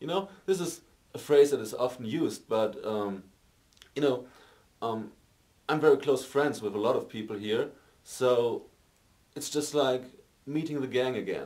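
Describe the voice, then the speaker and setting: A man with a German accent at a medium pitch, ordinary pitch variation, a moderate pace and long, frequent pauses. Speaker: amateur film actor. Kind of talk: interview. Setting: film set. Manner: halting, many fillers.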